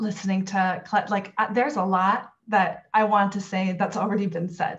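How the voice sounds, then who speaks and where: This woman's voice is somewhat breathy, with a medium pitch. She keeps a moderate pace and fairly even intonation. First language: Korean. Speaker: university multicultural affairs director. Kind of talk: panel discussion remarks. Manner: many fillers (um, uh).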